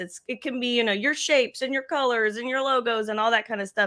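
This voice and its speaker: A woman speaks loudly at a fairly high pitch with a bright, sharp tone. The recording is very clean, with a silent background. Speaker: marketing show co-host. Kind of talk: casual live-stream chat. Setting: live video stream.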